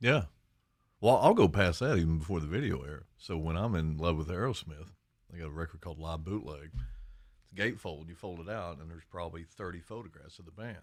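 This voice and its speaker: In an Appalachian accent, a man speaks at a very fast pace in a very deep, low voice, his loudness swinging widely, on a very clean recording with a silent background. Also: ordinary pitch variation. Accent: eastern Kentucky Appalachian. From eastern Kentucky, Lawrence County. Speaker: high school teacher and guitarist. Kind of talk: casual chat.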